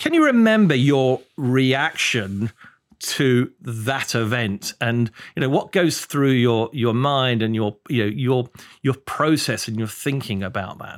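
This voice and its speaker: Very slowly and with ordinary pitch variation, a speaker with a British accent talks on a very clean recording over a silent background. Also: man, medium pitch for a man. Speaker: fund selector and guest interviewer. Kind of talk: casual interview.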